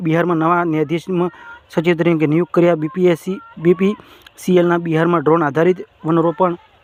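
Over noticeable background noise, a man with a high pitch speaks in a monotone, flat intonation, with a dry, close sound and no echo. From Gujarat, rural. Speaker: exam coaching YouTuber. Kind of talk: current affairs quiz tutorial.

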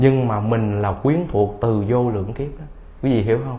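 With a dark, mellow tone and somewhat breathy delivery, a man talks with ordinary pitch variation. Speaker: Buddhist monk giving a Dharma talk. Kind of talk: sermon, Dharma lecture. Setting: temple hall with audience. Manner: humorous, jokes with audience. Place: hall.

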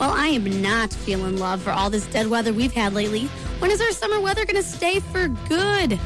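A woman's fairly quick delivery with hardly any pauses, over clear background music, in a dry sound with no echo. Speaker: college radio DJ. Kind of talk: radio DJ on-air patter. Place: studio.

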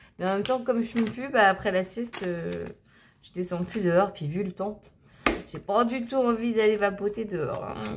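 Through noticeable background noise, a woman talks at a moderate pace with ordinary pitch variation and big swings in loudness. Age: 30s. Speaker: budgeting YouTuber; budget vlogger. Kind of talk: casual vlog tutorial. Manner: halting, many fillers. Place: home room. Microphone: phone near.

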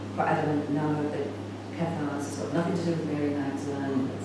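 A woman talks at a fairly quick pace over loud background noise, with audible room echo. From England, then New Zealand from age 14. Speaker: spiritual teacher and film director. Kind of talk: conference talk. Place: home room. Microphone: camera far.

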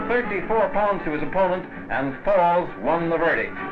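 Clear music plays in the background. A man talks at a moderate pace with ordinary pitch variation. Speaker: newsreel narrator. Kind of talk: newsreel commentary. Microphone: old recording.

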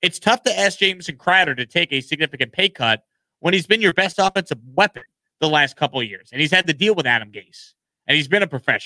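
Speaking at a very fast pace, a man makes very wide pitch swings and big swings in loudness. The sound is dry with no echo, and the background is quiet. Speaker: sports show host. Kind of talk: sports commentary. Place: studio. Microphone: studio mic.

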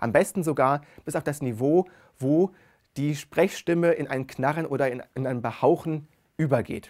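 Against a quiet background, a man with a fairly high pitch talks at a moderate pace with ordinary pitch variation and long, frequent pauses. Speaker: speech researcher; presenter. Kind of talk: lecture. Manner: expressive intonation. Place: studio. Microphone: lapel.

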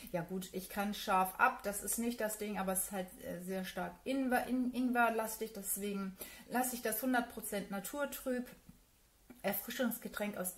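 A woman with a fairly high, somewhat breathy voice speaks at a moderate pace with fairly even intonation. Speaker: beauty YouTuber. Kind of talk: unboxing video. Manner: many filler sounds.

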